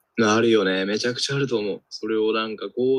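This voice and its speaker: A man at medium pitch talks very fast with fairly even intonation, the sound dry and close with no echo. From Tokyo, Japan. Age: 20s. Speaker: podcast co-host. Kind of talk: casual chat.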